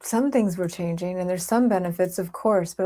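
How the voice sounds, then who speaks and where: This woman has a dark, mellow tone. Her pitch sits in the middle, with ordinary pitch variation. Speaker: mindfulness and personal growth video creator. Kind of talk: casual monologue to camera. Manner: animated.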